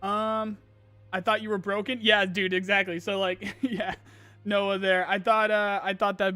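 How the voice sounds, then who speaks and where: In a raised, projected voice with a bright, sharp tone, the speaker goes at a fairly quick pace on a very clean recording with a silent background. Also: man. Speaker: gaming streamer. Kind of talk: live stream chat Q&A. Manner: halting; stutter.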